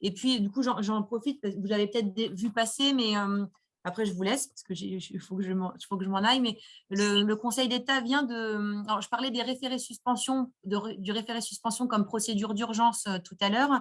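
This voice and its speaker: Somewhat breathy and fairly high, a woman's voice moves at a fairly quick pace with fairly even intonation. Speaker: lawyer. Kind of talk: webinar Q&A, legal explanation. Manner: fast.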